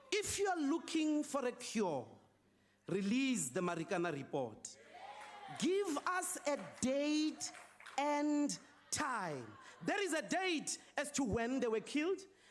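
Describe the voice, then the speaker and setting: A man talks at a very slow pace in an extremely high pitch with very wide pitch swings. His loudness stays very even. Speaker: opposition politician, parliamentary speaker. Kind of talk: parliamentary debate speech. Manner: forceful, accusatory, rhetorical.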